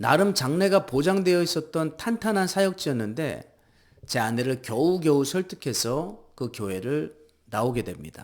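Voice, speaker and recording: Pitch swings very widely as the man keeps a moderate pace. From Seoul, South Korea. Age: 40s. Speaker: pastor and electrical construction worker. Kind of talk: personal vlog narration.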